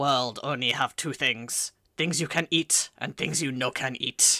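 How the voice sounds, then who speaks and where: Using a put-on character voice, a man speaks in a raspy, fairly high register at a fairly slow pace. The recording is very clean, with a silent background. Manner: silly, cartoonish.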